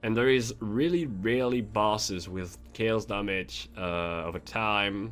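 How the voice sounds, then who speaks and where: Music plays in the background as a man with a fairly low pitch speaks with lively intonation at a fairly slow pace amid audible room echo. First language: not English. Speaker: gaming youtuber. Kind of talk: game tutorial. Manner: halting; casual.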